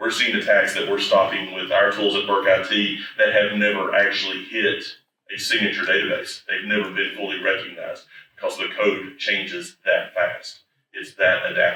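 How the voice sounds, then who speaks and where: Someone with an East Tennessee accent speaks at a moderate pace, with audible room echo. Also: man. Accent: East Tennessee Southern. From East Tennessee, US South. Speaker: IT services executive, conference speaker. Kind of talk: conference presentation. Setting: conference stage with audience. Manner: loud.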